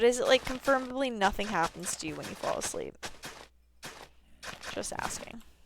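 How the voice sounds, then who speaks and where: The speaker talks at a fairly quick pace, with long, frequent pauses and big swings in loudness. Noticeable background noise is audible. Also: woman. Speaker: video game streamer. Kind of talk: live gameplay stream chat. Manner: sleepy, drowsy.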